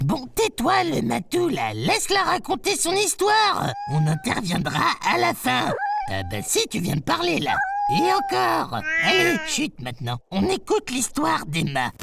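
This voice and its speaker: Someone talks at a moderate pace in a put-on character voice, with loud background noise behind them. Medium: read story. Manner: chatty, teasing, colloquial.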